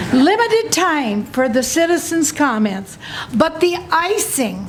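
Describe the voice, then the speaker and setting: Against noticeable background noise and audible room echo, a woman talks at an extremely high pitch with very wide pitch swings. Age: 80s+. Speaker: citizen testifying at county hearing. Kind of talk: public testimony. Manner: not fast, deliberate; forceful, indignant.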